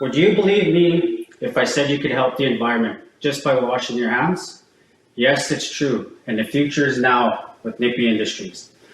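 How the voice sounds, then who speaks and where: A fairly high-pitched man with a western Canadian accent, lively intonation and a moderate pace, amid noticeable background noise and audible room echo. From Alberta, Canada (Métis settlement). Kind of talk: business pitch; Q&A with judges. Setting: pitch competition with judges. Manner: scripted, rehearsed delivery.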